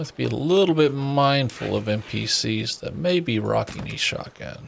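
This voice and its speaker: A soft-spoken man mumbles his words. He talks at a moderate pace. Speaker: gaming streamer. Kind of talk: live gameplay commentary. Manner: mumbling.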